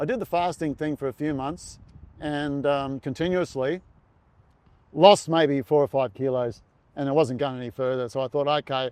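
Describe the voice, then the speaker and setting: A fairly high-pitched man at a moderate pace with ordinary pitch variation, in dry, close sound with no echo. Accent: Australian. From Australia. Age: 60s. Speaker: retired marathon runner. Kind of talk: podcast interview. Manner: halting, many fillers and repeats.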